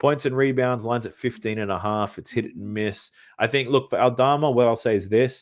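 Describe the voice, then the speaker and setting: A man speaks at a fairly quick pace with an Australian accent. The recording is very clean, with a silent background. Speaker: sports betting content creator. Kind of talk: livestream Q&A. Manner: deep breaths between sentences.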